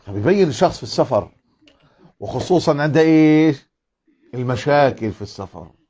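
At a fairly slow pace with long, frequent pauses, a man with a fairly high pitch and dark, mellow tone speaks with lively intonation and big swings in loudness. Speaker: preacher. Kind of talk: religious lesson. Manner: animated. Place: home room. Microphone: lapel.

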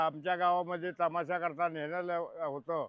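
A man speaks in a high-pitched voice. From Satara district, Maharashtra. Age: 80s+. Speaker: village elder. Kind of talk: interview.

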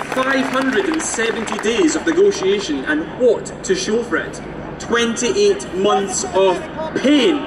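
Over crowd noise in the background, a man speaks at a very slow pace with very wide pitch swings. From Scotland, Fife. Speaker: youth activist. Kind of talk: compering announcement; rally speech. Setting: outdoor stage with crowd. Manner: rousing. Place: street.

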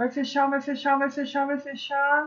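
A woman is speaking. Her pitch is high. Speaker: live auction host. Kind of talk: live auction commentary. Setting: online livestream, screen-sharing.

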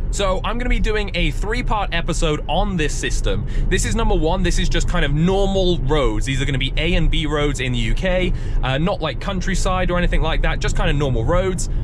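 Over noticeable background noise, a man talks at a fairly quick pace with very even loudness and a dry sound with no echo. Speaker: car channel host driving. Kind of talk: casual vlog commentary. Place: car.

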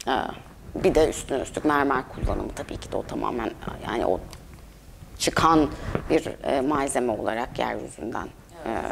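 A woman at a moderate pace with long, frequent pauses and noticeable background noise. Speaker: curator. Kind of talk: exhibition talk. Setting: gallery with audience. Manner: hesitant, many filler sounds. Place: hall.

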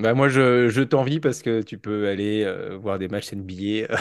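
The speech comes at a very slow pace with ordinary pitch variation against a quiet background. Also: man. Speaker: teacher and podcast host. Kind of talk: casual interview. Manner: hesitant, lots of fillers.

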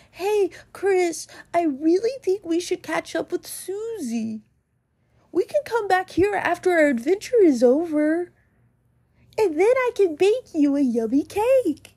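This put-on character voice moves at a fairly slow pace, with very wide pitch swings. The sound is dry and close, without any echo. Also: woman, extremely high pitch for a woman. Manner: sweet, shy, a little nervous.

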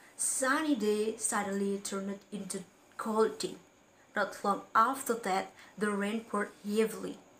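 The text is given as plain reading aloud. Its intonation is fairly even.

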